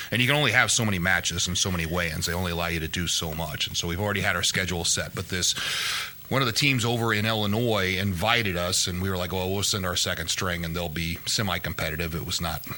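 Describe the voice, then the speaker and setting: Noticeable background noise sits behind a man speaking at a very fast pace. His pitch is very deep and low, with ordinary variation. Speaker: horse racing podcast co-host and wrestling coach. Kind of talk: casual chat.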